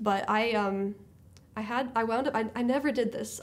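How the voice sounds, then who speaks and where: The woman's pitch varies in an ordinary way as she speaks. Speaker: high school English teacher. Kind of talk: interview. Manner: animated. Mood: warm, reflective.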